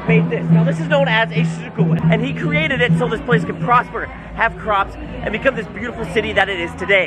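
Loud music plays in the background while the speaker talks at a fairly quick pace. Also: man. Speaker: travel vlogger. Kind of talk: casual vlog chat. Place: street. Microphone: phone near.

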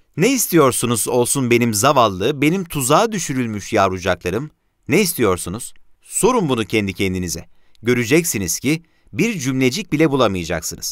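The recording is very clean, with a silent background. Pitch swings very widely at a moderate pace. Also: man, medium pitch for a man. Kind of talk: period newspaper column read aloud.

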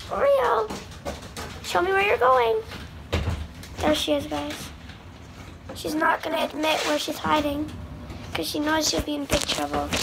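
A woman speaks at a fairly slow pace with long, frequent pauses. Noticeable background noise runs underneath. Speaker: pet owner vlogger. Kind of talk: casual vlog chat. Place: home room. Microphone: phone near.

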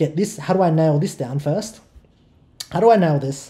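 Speaking very fast with an Australian accent, the voice has a dark, mellow tone and ordinary pitch variation. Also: man. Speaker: online marketing educator. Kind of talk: tutorial. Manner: repetitive, stammering restarts. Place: home room.

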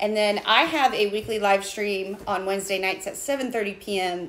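A woman is speaking. There is light background noise behind her. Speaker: small business co-owner host. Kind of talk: casual livestream chat. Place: workshop. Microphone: phone near.

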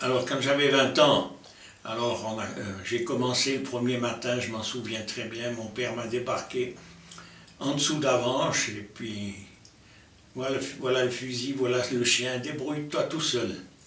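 Over light background noise and audible room echo, a man speaks at a fairly slow pace with fairly even intonation. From Lausanne, Switzerland. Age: 80s+. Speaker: hunter. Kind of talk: interview answer. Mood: calm reminiscing. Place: home room.

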